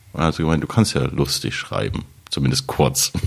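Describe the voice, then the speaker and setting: Noticeable background noise sits behind a man with a very deep, low pitch. He speaks at a moderate pace with very wide pitch swings. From Saxony, Radebeul near Dresden. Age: 30s. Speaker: TV writer and stand-up comedian. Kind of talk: casual chat.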